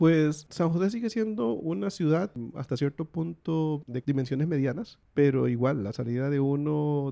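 In a Costa Rican accent, a man speaks at a fairly slow pace with a dark, mellow tone and ordinary pitch variation, recorded dry and close with no echo. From Costa Rica, Guanacaste. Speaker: visiting relative interviewed about his country. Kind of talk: casual interview.

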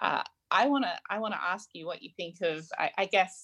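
At a moderate pace and with ordinary pitch variation, the speaker has an Australian accent in a dry, close recording with no echo. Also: woman. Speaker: podcast host. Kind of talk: interview. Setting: video call.

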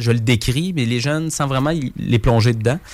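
In a Quebec accent, a man speaks at medium pitch with ordinary pitch variation. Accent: Québécois French. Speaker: youth entertainer. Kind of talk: interview.

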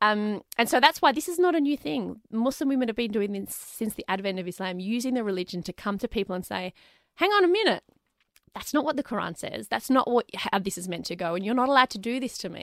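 A woman's fairly high voice with an Australian accent, very fast, with very wide pitch swings and big jumps in loudness, in a dry, close sound without echo and a very clean recording over a silent background. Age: 30s. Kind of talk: interview conversation.

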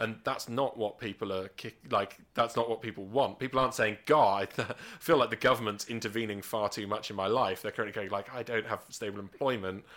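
A man with a British accent at a medium pitch, fairly quick in pace and fairly even in intonation. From England, Gloucestershire. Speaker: stand-up comedian and nuclear physicist. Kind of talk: casual chat.

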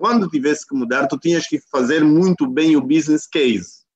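A man speaks at a moderate pace in an ordinary speaking voice. His pitch varies in the usual way, and the sound is dry and close with no echo. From Angola, Huambo province. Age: 50s. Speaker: company executive, coach. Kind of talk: interview over video call. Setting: video call.

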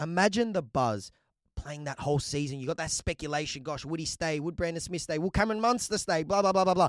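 A man with an Australian accent speaks very fast, in an animated tone with lively intonation and a fairly high pitch. The recording is very clean, with a silent background. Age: 20s. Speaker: sports podcast host. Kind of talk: solo podcast commentary.

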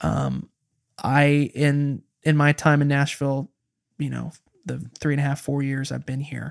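A man with an American accent speaks slowly in a monotone, flat way, with long, frequent pauses. The sound is dry and close with no echo. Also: fairly high pitch for a man. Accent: Midwestern with a slight Southern creep. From Kansas (Wichita), US Midwest. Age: 20s. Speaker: touring guitarist and pop singer-songwriter. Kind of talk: casual chat. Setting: living room.

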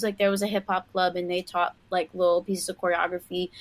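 A woman speaks with a New York accent. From Queens, New York City. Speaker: professional dancer and choreographer. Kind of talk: casual chat. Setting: live video stream.

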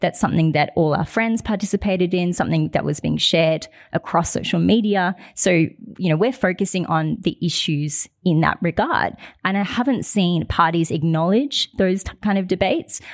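A woman's medium-pitched voice with an Australian accent, ordinary pitch variation, a moderate pace and hardly any pauses. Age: 20s. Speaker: youth advocate. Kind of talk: live panel discussion. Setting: live audience at a university.

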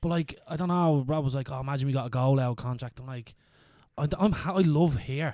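A man's fairly high voice with an Irish accent, dark and mellow in tone, at a fairly quick pace with ordinary pitch variation. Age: 30s. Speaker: podcast host. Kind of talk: casual chat.

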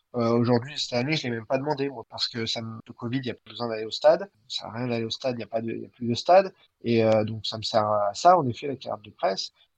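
At a very fast pace, a man speaks at medium pitch with ordinary pitch variation and big swings in loudness, the sound dry and close with no echo. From France, of Armenian descent. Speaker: sports journalist. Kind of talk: interview.

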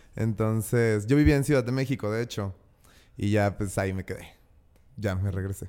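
A man speaks at a moderate pace in a fairly low voice with ordinary pitch variation. There are long, frequent pauses, and music plays in the background. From Mexico, Guadalajara. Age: 30s. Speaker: event designer. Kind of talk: casual chat.

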